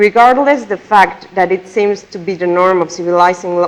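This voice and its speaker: A woman with a Spanish accent, medium pitch and moderate pace. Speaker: conference speaker. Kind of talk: lecture read from a prepared text. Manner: reading aloud, some repetitions.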